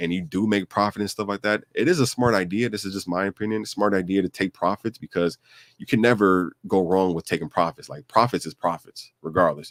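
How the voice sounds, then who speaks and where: A man with a very deep, low pitch and ordinary pitch variation talks at a very fast pace. The sound is dry and close with no echo, on a very clean recording with a silent background. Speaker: crypto youtuber. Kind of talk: casual commentary. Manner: halting.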